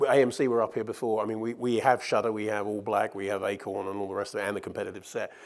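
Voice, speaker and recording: On a very clean recording with a silent background, a man with a British accent talks at a very fast pace in a medium pitch. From Britain. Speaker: media research executive. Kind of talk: conference keynote Q&A. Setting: stage with audience. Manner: animated.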